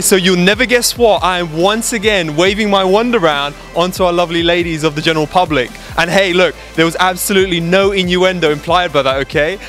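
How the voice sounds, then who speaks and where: Faint music plays behind a man who speaks at a fairly quick pace with ordinary pitch variation, the sound dry with no echo. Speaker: dating coach. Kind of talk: casual talk to camera. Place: street. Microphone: handheld.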